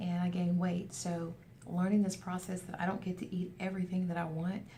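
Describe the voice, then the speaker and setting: A woman speaks in a monotone with flat intonation. Audible room echo surrounds her voice. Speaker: weight loss vlogger. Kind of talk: casual video update. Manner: fast.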